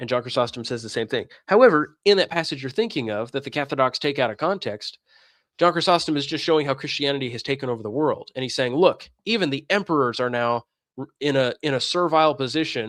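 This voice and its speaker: A man's animated, very fast delivery, fairly high in pitch with ordinary pitch variation, on a very clean recording with a silent background. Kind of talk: livestream commentary reading chat. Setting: livestream.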